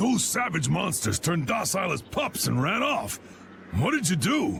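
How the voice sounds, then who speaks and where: A man puts on a character voice that is raspy and gruff, high in pitch with very wide pitch swings. He talks at a moderate pace over clear background noise. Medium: cartoon. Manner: gruff, folksy.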